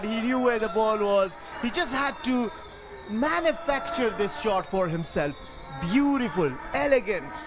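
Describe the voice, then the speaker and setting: A man speaks in an animated tone at an extremely high pitch. Music plays in the background. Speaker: cricket commentator. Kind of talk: live sports commentary. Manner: animated, excitable, quick-fire calls.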